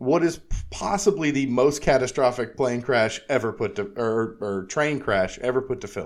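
This is an ordinary speaking voice with lively intonation at a moderate pace. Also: man. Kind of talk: casual chat.

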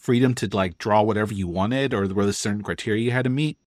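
Very fast speech at a medium pitch from a man, on a very clean recording with a silent background. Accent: American. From El Paso, Texas. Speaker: podcast host. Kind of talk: casual interview; scripted narration.

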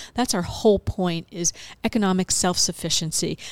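A woman's normal speaking voice at a moderate pace, in a very clean recording with a silent background and a dry, close sound with no echo. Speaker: food bank nonprofit representative. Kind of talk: casual interview chat.

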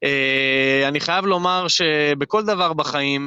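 A man speaks at a fairly high pitch with ordinary pitch variation and a bright, sharp tone. The sound is dry and close with no echo. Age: 30s. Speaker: real estate agent. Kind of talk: interview. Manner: hesitant, many fillers.

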